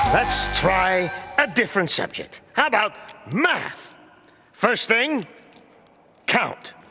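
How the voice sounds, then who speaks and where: In a cartoonish character voice at an extremely high pitch, a man speaks very slowly with very wide pitch swings and long, frequent pauses as faint music plays behind him. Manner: impatient, snappish.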